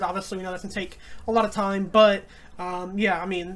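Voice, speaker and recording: A woman's medium-pitched voice, very fast and monotone with flat intonation, in audible room echo. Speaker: wrestling YouTuber. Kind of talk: casual chat.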